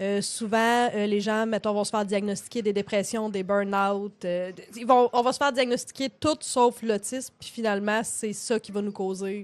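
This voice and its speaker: In a monotone with flat intonation, a woman speaks at a moderate pace over a quiet background. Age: 30s. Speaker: podcast co-host, hairdresser. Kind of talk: casual chat. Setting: live stream from home studio.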